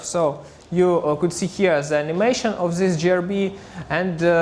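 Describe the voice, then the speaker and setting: A man speaks with a high pitch in a Russian accent. Room echo is audible. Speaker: astrophysicist. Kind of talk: conference talk. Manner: halting, many filler sounds.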